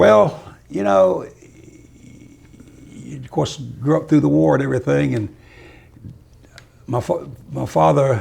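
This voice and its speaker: A man with a Florida accent talks at a fairly slow pace and fairly low pitch, his pitch swinging very widely between long, frequent pauses. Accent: Southern US, Florida. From central Florida, Lake County. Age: 80s+. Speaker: citrus grower. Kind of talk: oral history interview. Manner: halting, repeats words.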